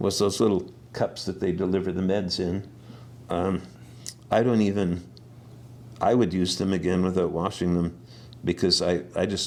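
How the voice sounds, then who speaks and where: With a Canadian Prairies accent, a man talks at a very deep, low pitch and a moderate pace, keeping his intonation fairly even. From Saskatchewan, Canada. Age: 60s. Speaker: herbalist. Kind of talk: interview. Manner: halting.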